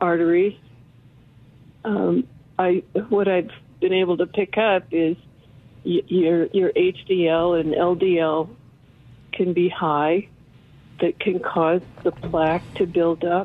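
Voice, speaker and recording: A woman talks at a very slow pace with long, frequent pauses. Her fairly low voice has ordinary pitch variation and very even loudness. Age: 70s. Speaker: caller. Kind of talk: call-in question. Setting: phone call.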